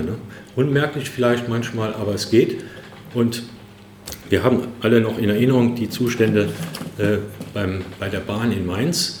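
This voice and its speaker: A man talks at a moderate pace with a medium pitch. Room echo is audible, and background noise is noticeable. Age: 60s. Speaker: trade union chairman. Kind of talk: closing speech. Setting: conference hall with audience. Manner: hesitant with filler sounds.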